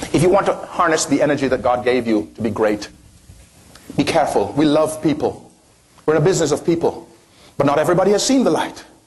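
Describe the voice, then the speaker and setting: A man with a non-native accent speaks at a fairly quick pace with very wide pitch swings. Noticeable background noise is present. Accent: foreign accent, self-described as funny. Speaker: motivational speaker. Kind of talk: motivational talk to live audience.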